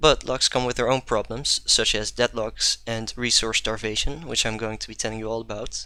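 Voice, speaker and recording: A man with a Dutch accent, medium pitch, bright and sharp tone, fairly even intonation, moderate pace and hardly any pauses. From Netherlands. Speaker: programming conference speaker. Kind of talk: technical talk. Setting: live stream.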